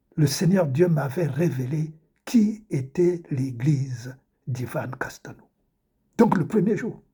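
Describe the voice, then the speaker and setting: Speaking at a very slow pace with long, frequent pauses, a man uses a fairly high pitch, a dark, mellow tone and lively intonation. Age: 70s. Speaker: preacher. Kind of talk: religious testimony monologue. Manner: repetitive, halting.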